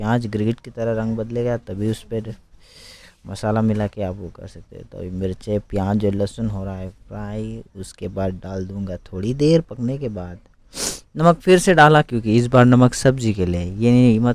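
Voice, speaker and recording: A man with a slight non-native accent speaks at a fairly low pitch with ordinary pitch variation and big swings in loudness. The recording is very clean, with a silent background. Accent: non-native Hindi, slight. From Arunachal Pradesh, India. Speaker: home cooking video creator. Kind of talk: cooking tutorial. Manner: casual, conversational.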